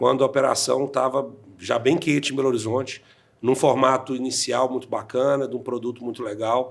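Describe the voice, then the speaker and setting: A man speaks at medium pitch and a fairly quick pace. His intonation is monotone and flat. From Brazil, interior of Minas Gerais. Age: 40s. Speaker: insurance franchise owner. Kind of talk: podcast interview.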